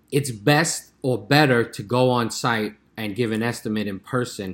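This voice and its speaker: A normal speaking voice from a man, medium-pitched, with ordinary pitch variation and a fairly slow pace. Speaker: pest control business owner, podcast co-host.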